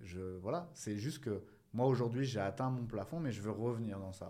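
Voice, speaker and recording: With a dark, mellow tone, a man talks at a moderate pace in a medium pitch, showing ordinary pitch variation. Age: 40s. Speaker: entrepreneur and business coach, former soldier. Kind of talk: interview conversation.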